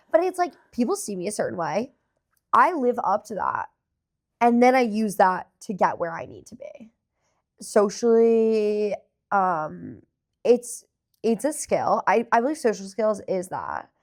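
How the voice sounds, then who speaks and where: A woman with a fairly high pitch and lively intonation speaks with big swings in loudness and long, frequent pauses, on a very clean recording with a silent background. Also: fairly slow pace. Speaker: podcast co-host. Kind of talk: casual chat.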